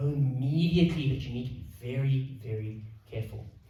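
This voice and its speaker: Audible room echo surrounds a man whose fairly high pitch moves with lively intonation. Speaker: financial adviser. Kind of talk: presentation. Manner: fast.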